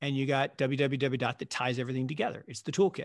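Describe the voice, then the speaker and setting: In an American accent, a man speaks at a medium pitch with a dry, close sound, no echo and a quiet background. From US Pacific Northwest, Seattle. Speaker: investment fund manager. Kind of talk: interview conversation.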